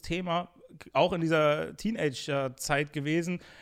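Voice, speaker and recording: A man speaks in a plain, everyday voice at a fairly slow pace. His pitch shows ordinary variation. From Germany, Bonn. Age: 20s. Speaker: YouTube interviewer. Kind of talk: casual chat.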